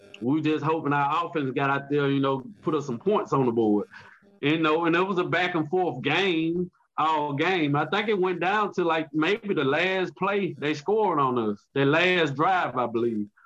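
With a Southern US accent, a man speaks at a moderate pace. His pitch is fairly high, with ordinary pitch variation. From Mississippi. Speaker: former college football player. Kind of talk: interview.

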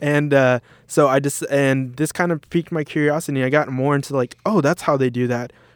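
A normal speaking voice goes at a fairly quick pace. The recording is very clean, with a silent background and a dry, close sound with no echo. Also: man, fairly high pitch for a man, fairly even intonation. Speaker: podcast co-host, audio student. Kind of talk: casual chat.

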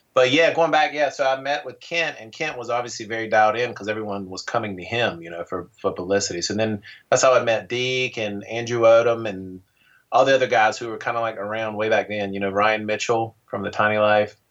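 A man with a normal speaking voice at medium pitch, fairly quick, with ordinary pitch variation and big swings in loudness, against a quiet background. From North Carolina. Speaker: tiny house website owner, entrepreneur. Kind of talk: casual interview chat.

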